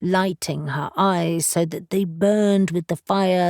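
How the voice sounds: A natural reading voice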